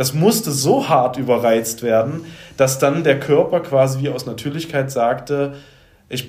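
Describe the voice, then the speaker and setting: A man speaks in a fairly high pitch with ordinary pitch variation. His voice is somewhat breathy, with audible room echo. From Saxony, Leipzig. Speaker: life coach and former musician. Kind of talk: podcast interview.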